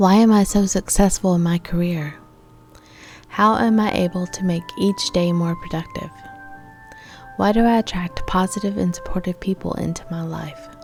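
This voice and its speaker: Over music in the background, a woman of medium pitch speaks at a moderate pace with fairly even intonation and long, frequent pauses. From Texas. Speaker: motivational speaker and life coach. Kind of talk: motivational talk to camera.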